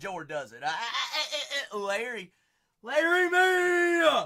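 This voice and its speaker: A man's raised, projected voice with an American accent, bright and sharp in tone, animated, with very wide pitch swings. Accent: noticeable regional accent, unnamed. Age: 20s. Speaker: live-stream card breaker. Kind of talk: live-stream chat. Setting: live stream.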